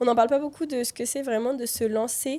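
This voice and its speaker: Her voice high-pitched, a woman speaks with a dark, mellow tone and fairly even intonation. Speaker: entrepreneur and mother. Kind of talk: casual chat.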